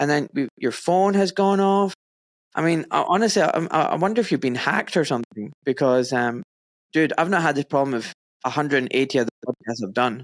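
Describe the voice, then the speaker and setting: Speaking at a fairly quick pace, a man with a Scottish accent has a fairly high pitch and lively intonation. His loudness stays very even, and the sound is dry and close with no echo. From Scotland. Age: 40s. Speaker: podcast host, doctor. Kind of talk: casual interview chat.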